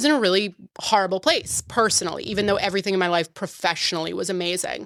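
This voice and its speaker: With an American accent, a woman speaks at a fairly quick pace in a flat monotone, on a very clean recording with a silent background. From Boston area, Massachusetts. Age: 30s. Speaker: podcast guest, mocktail influencer. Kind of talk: casual chat. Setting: studio.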